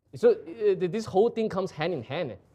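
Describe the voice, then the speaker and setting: Speaking in a Singaporean accent, a man with a dark, mellow tone swings very widely in pitch. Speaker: live show host presenting art and antiques. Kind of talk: casual conversational explanation.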